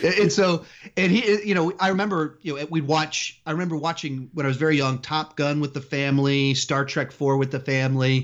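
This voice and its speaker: A man with an American accent has an unremarkable speaking voice. He speaks at a fairly high pitch with ordinary pitch variation. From Texas, Austin area. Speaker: movie YouTuber. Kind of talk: interview.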